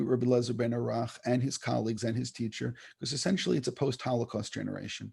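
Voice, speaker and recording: The recording is very clean, with a silent background. A man talks at a medium pitch in a somewhat breathy voice. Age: 60s. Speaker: rabbi and author. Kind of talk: interview. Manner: repetitive, halting restarts.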